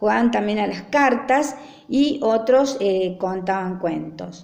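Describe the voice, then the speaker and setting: A woman speaks very slowly at a medium pitch, her voice swinging very widely in pitch, with noticeable background noise and audible room echo. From Argentina, Traslasierra (Córdoba). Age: 60s. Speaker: interviewee recounting rural memories. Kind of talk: personal recollection. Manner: frequent hesitations (eh).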